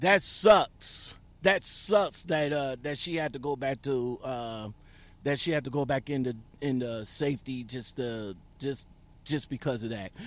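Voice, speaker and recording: An animated man with an American accent talks at a fairly slow pace, his medium-pitched voice showing ordinary pitch variation. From US Midwest. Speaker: truck driver and YouTube podcast host. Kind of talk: casual interview chat. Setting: in a truck.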